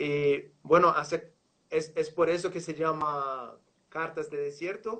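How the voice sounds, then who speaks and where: This man talks very slowly in a Portuguese accent, his fairly high voice bright and sharp, with fairly even intonation. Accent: Portuguese-accented Spanish (portuñol). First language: Portuguese (speaking Spanish). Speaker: live show host. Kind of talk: interview. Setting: online livestream.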